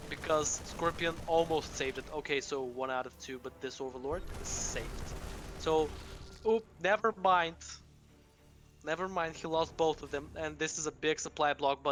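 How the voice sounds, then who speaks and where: Music in the background, a woman with a fairly low pitch at a moderate pace, ordinary pitch variation, big swings in loudness and long, frequent pauses. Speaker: esports caster. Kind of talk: live commentary. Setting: live stream. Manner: louder than usual; animated.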